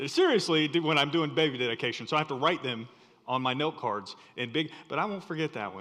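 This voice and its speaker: A man speaks with ordinary pitch variation. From rural North Carolina. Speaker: guest preacher. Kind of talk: sermon. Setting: church.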